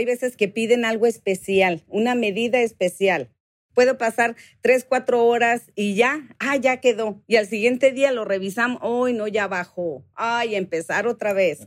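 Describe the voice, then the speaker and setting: A woman speaks at a fairly slow pace with a fairly high pitch, ordinary pitch variation and an animated tone. The recording is very clean and silent behind her, with a dry, close sound and no echo. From Mexicali, Mexico. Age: 40s. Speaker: guitar pickup maker. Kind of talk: interview.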